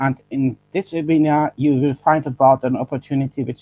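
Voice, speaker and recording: The voice has a dark, mellow tone and a dry, close sound with no echo. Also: man. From Germany. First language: German. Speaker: online business presenter. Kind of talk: webinar sales pitch. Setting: webinar live stream. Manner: halting, self-correcting.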